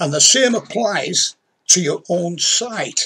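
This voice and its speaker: In a Yorkshire accent, a man with a high pitch and a bright, sharp tone speaks at a very slow pace. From Yorkshire, northern England. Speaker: crime novelist. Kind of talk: tutorial. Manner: conversational. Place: home room. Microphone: webcam.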